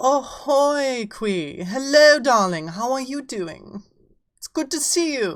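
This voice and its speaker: A very slow delivery with an English accent, very wide pitch swings and big swings in loudness. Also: woman, high pitch for a woman. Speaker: VTuber streamer. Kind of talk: casual live-stream chat. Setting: live stream.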